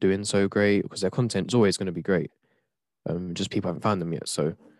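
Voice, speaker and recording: Very deep and low in pitch, a man speaks with an English accent at a fairly quick pace. The sound is dry and close with no echo over a quiet background. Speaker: twitch streamer. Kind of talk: casual chat.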